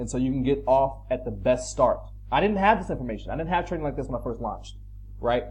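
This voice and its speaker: Audible echo fills the room. The words come out very fast. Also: man. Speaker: pressure washing business owner and YouTube trainer. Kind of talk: tutorial. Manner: casual, conversational with fillers.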